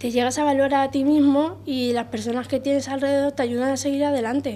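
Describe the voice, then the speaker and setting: Her tone is dark and mellow, with high pitch and monotone, flat intonation. This woman speaks at a very fast pace. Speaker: young person in support program; interviewee. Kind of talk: interview. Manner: halting. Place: office. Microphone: handheld.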